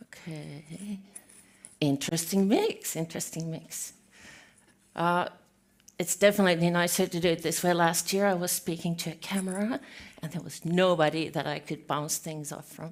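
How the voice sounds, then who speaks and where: In a very clean recording with a silent background, a woman with a Finnish accent speaks at a fairly low pitch with fairly even intonation. Her loudness swings widely, and she leaves long, frequent pauses. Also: moderate pace. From Finland. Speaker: healthcare architect, conference speaker. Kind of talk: conference talk. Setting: stage with audience.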